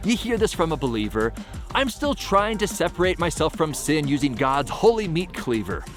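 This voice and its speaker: With music in the background, a man talks at a moderate pace with very wide pitch swings. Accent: American. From Seattle. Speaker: spoken word poet. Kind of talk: spoken word poetry performance.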